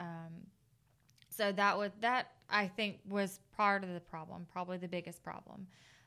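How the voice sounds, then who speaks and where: Bright and sharp in tone, a woman speaks at a moderate pace and medium pitch with fairly even intonation. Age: 30s. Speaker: widow sharing personal story. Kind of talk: testimony. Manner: halting.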